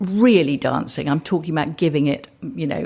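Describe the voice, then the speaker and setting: Ordinary pitch variation in a southern English accent. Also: woman. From England, Suffolk. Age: 60s. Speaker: entrepreneur. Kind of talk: interview. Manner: hesitant, with fillers.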